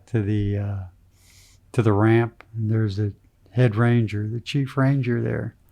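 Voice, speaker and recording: Soft-spoken, with a dark, mellow tone and medium pitch, a man speaks in a monotone, flat intonation with long, frequent pauses over a quiet background. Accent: American. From Pennsylvania, Wilkes-Barre area. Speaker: retired surgeon and angler. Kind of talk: casual interview.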